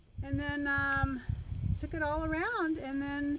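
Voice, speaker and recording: Very slow speech from a woman amid noticeable background noise. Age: 70s. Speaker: travel vlogger. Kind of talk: casual chat.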